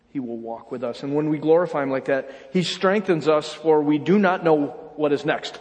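A man speaks with an American accent, his pitch fairly high for a man and his pitch variation ordinary. He talks at a moderate pace over noticeable background noise. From upstate New York. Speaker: pastor. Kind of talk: sermon. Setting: church.

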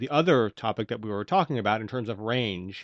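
Lively in intonation, a man talks fairly quickly in an ordinary speaking voice, with a dry, close sound with no echo and a quiet background. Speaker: podcast host. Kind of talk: interview.

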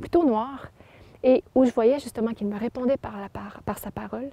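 Her voice is high-pitched with a dark, mellow tone and ordinary pitch variation. The woman talks at a moderate pace in a dry, close sound with no echo. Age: young. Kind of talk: testimony.

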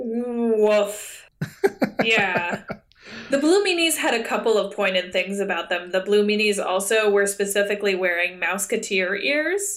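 Speaking at a fairly slow pace in a normal speaking voice, a woman at medium pitch keeps very even loudness, with ordinary pitch variation. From Canada. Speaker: podcast co-host. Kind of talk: casual chat. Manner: laughs often.

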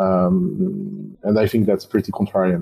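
With a French accent, a man speaks at a medium pitch and a moderate pace, his intonation lively. The tone is dark and mellow, and the sound is dry and close with no echo. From France. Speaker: startup investor. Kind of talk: interview.

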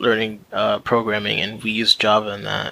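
A man with an American accent, medium pitch, moderate pace and monotone, flat intonation. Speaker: engineering student podcast host. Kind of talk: casual chat.

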